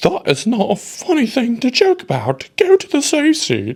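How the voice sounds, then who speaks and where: This is a put-on character voice with a fairly high pitch. It moves at a moderate pace. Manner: disbelieving, scolding.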